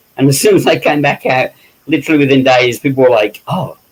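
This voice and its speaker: A fairly quick British accent with ordinary pitch variation. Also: man. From England, West Midlands. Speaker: special makeup effects artist and director. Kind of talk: interview. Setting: live stream. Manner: loud.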